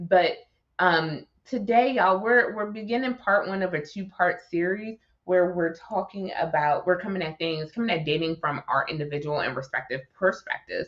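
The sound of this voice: Putting on a character voice with a Baltimore accent, a woman sounds raspy at a medium pitch and a moderate pace.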